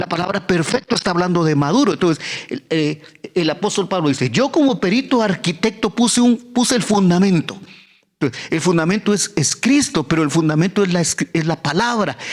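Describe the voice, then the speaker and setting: This man's high-pitched voice moves at a fairly quick pace with lively intonation. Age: 70s; old. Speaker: pastor. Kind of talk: sermon. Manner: halting.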